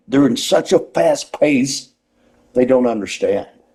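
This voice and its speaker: A man with a Southern US accent at a fairly slow pace. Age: 60s. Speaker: retired pro wrestler and wrestling school owner. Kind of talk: interview. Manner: rambling, animated.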